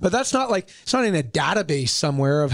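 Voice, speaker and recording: This man has a Western Canadian accent and a fairly high pitch. He talks at a very fast pace in an animated tone. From Canada, Whistler BC. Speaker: real estate developer executive. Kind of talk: interview.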